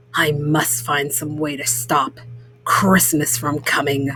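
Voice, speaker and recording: Over music in the background and with audible echo, a put-on character voice growls at a low-to-middle pitch and a fairly slow pace. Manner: growling, grumpy.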